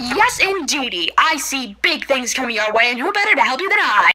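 A put-on character voice, high in pitch and fairly quick in pace. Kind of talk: 1920s radio host showmanship. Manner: theatrical, cheerful, mocking.

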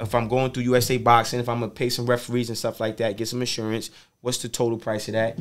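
Flat and monotone, a man with an American accent talks at a very fast pace. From New York City (Harlem); New York. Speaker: motivational speaker. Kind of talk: casual interview. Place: studio. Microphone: studio mic.

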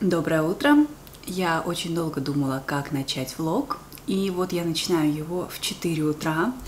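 Noticeable background noise sits behind a woman's voice. Her pitch is fairly low, with ordinary variation. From Yeysk, southern Russia. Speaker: Russian language teacher, vlogger. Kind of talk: casual vlog talk to camera. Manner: clear, fairly slow.

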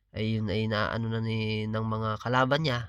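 A man's voice at medium pitch. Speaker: political vlogger. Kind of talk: political commentary monologue. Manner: halting, with filler pauses.

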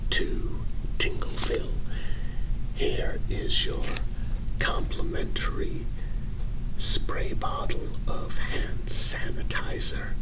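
The voice is whispering. The pace is very slow. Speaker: role-play host welcoming newcomer. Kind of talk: role-play monologue, soft-spoken. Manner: soft-spoken ASMR greeting voice.

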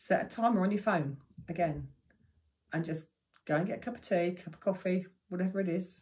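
Pitched in a medium range, a woman talks at a fairly quick pace with a somewhat breathy voice. Her intonation stays fairly even, broken by long, frequent pauses. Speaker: meditation teacher. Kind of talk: tutorial.

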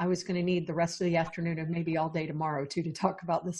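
Her fairly low, somewhat breathy voice stays monotone and flat as the woman speaks. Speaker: podcast host. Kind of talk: show introduction. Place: home room. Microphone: earbuds.

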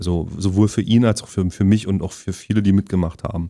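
In a quiet background, a man speaks at a fairly low pitch in a monotone, flat intonation. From Halle (Saale), Saxony-Anhalt, Germany. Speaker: actor and musician. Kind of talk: casual interview chat. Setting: studio. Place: studio.

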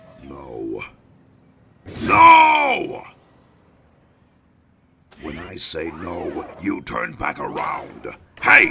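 A man's raspy, cartoonish character voice at a very slow pace, broken by long, frequent pauses. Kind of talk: dramatic speech.

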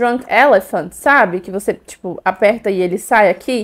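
Animated in tone, a woman speaks at a fairly slow pace with ordinary pitch variation. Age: 20s. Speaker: beauty and perfume youtuber; perfume youtuber. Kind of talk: product haul video. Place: home room. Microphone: lapel.

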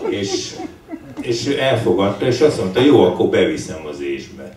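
A man with a fairly low pitch speaks at a fairly slow pace with very wide pitch swings, amid light background noise and audible room echo. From Hungary. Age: 60s. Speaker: writer. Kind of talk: book launch conversation. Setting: bookshop with audience. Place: shop.

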